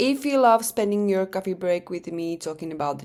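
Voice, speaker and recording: On a very clean recording with a silent background, a woman with a non-native accent speaks at medium pitch with lively intonation. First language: not English. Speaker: true crime podcaster. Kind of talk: podcast narration. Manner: casual, chatty; occasional hesitations and self-corrections.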